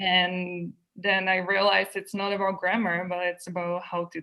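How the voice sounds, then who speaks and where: With a Czech accent, a woman of medium pitch talks at a moderate pace in a monotone, flat way. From Czech Republic, Prague. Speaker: English teacher trainee, graduate student. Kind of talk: interview.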